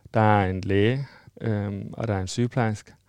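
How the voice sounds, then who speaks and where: On a very clean recording with a silent background, a man with a fairly low pitch speaks at a fairly slow pace. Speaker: person living with HIV. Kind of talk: interview testimony.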